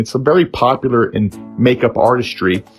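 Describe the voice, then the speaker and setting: Music plays behind a man who talks at a medium pitch. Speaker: husband doing a comedic voiceover. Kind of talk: comedic voiceover parody of a makeup tutorial. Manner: playful, mock-serious.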